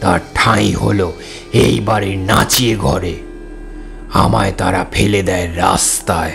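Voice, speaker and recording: Over clear music in the background, a man uses a put-on character voice with a very deep, low pitch. He speaks at a fairly slow pace. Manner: sorrowful, trembling.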